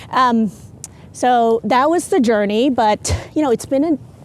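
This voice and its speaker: Against noticeable background noise, a woman with a high pitch speaks at a fairly slow pace with long, frequent pauses. Her loudness stays very even, and her pitch varies in an ordinary way. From South Asia / Middle East, international upbringing (Sri Lanka high school). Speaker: entrepreneur, physicist. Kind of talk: casual interview. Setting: outdoors, walking around a campus quad.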